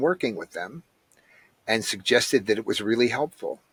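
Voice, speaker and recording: Recorded very cleanly against a silent background, a man's bright, sharp voice sounds dry and close with no echo. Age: 60s. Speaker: ayahuasca practitioner, recovering addict. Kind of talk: interview, personal testimony.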